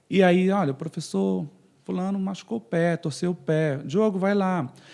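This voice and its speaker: A man's high-pitched voice has a dark, mellow tone and a northern Brazilian accent. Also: ordinary pitch variation, moderate pace. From northern Brazil, Pará (Castanhal/Belém). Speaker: physiotherapist. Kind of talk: podcast interview.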